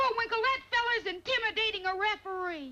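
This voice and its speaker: A cartoonish character voice at an extremely high pitch rattles along at a fairly quick pace. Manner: eager, earnest.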